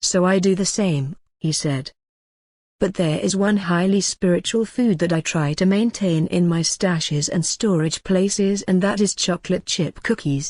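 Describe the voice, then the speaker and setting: A woman with a plain, everyday voice speaks at a moderate pace and medium pitch, using ordinary pitch variation and very even loudness. The sound is dry and close with no echo, over a quiet background. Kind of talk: documentary-style narration reading an article.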